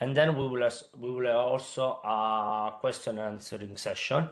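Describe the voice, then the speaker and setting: A man speaks with an Italian accent at medium pitch. His intonation stays fairly even. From Italy. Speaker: consultant presenting a funding call. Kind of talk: webinar presentation. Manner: hesitant, many filler sounds.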